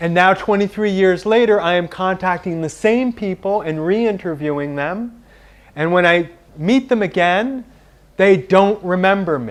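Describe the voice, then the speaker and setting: A man speaks with an American accent in a high pitch. His pitch varies in an ordinary way. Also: moderate pace. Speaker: writer. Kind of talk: public talk. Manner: soft-spoken; loud.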